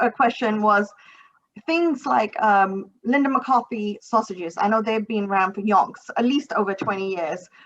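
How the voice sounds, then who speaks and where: A woman with an American accent speaks at a moderate pace. Her pitch is fairly high, with ordinary variation. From United States. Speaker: podcast host. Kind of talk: interview.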